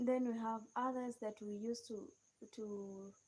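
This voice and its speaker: A woman with a Kenyan accent speaks at a very slow pace. Her fairly high voice has a dark, mellow tone and fairly even intonation. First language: a Kenyan native language. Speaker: live streamer. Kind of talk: live stream chat with viewers. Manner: halting.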